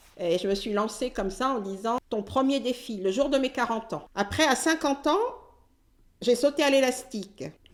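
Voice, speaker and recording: A woman's high voice, with ordinary variation in pitch, moves along at a moderate pace. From French Caribbean (Antilles). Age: 60s. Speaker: retired nurse. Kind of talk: interview testimony. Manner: halting, many hesitations.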